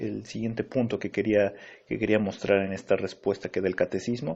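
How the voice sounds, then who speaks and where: A man with a fairly low pitch keeps a moderate pace as he talks. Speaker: pastor. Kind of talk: Bible teaching. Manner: halting, many fillers.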